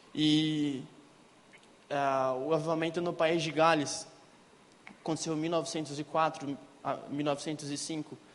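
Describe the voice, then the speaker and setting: A man's fairly high, flat, monotone voice at a fairly slow pace, with long, frequent pauses and audible room echo. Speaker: lay preacher. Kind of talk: sermon. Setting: church.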